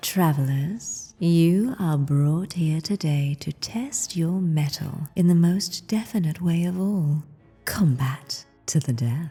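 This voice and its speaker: A booming, put-on character voice speaks at a middle pitch and a fairly slow pace. Faint music plays in the background. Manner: booming, menacing.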